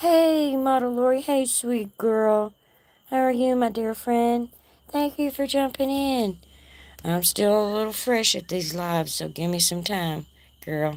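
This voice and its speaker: Carrying a Texas accent, a woman talks at a fairly high pitch and fairly slow pace with very wide pitch swings. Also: very clean recording, silent background. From North Texas. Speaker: livestream host. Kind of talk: casual chat. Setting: outdoors.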